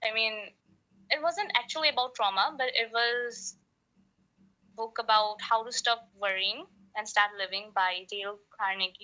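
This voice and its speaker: A woman with a non-native accent speaks at a moderate pace with a fairly high pitch, a bright, sharp tone, ordinary pitch variation and big swings in loudness. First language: not English. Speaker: podcast guest, aspiring singer. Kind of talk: casual conversation. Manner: halting.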